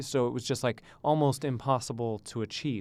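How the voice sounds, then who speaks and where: A man with a Canadian accent and a plain, everyday voice, moderate pace and ordinary pitch variation, on a very clean recording with a silent background. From Canada, Ontario (Thornhill). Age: 30s. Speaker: tennis coach. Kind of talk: interview.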